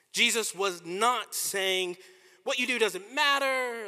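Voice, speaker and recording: With an American accent, a man projects a raised voice with a bright, sharp tone, speaking very slowly with ordinary pitch variation in a very clean recording with a silent background. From US, Washington DC. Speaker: pastor. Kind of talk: sermon.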